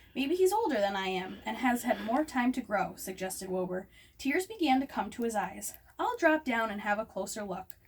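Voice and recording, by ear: Text read aloud in a natural voice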